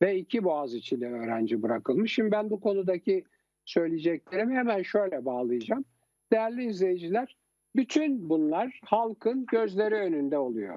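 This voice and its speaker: Pitched high, a man speaks at a moderate pace, his voice swinging very widely in pitch. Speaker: TV political commentator. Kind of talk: political talk show commentary. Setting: TV studio.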